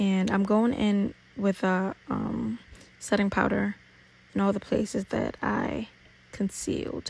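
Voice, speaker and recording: Long, frequent pauses in a woman's very slow delivery. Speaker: beauty YouTuber. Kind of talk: makeup tutorial. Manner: casual, playful.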